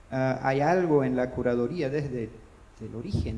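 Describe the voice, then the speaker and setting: A man with a medium-pitched voice speaks at a fairly slow pace with ordinary pitch variation. Audible room echo and noticeable background noise surround him. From Brazil. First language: Portuguese (speaking Spanish). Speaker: panelist at book fair. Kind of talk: panel discussion. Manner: halting, many repetitions.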